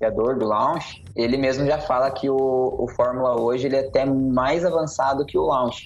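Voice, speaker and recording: Noticeable background noise sits behind a man speaking at a medium pitch. His pace is moderate and his intonation fairly even. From Curitiba, Paraná, Brazil. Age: young. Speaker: digital marketing consultant and instructor. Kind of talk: podcast interview. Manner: casual.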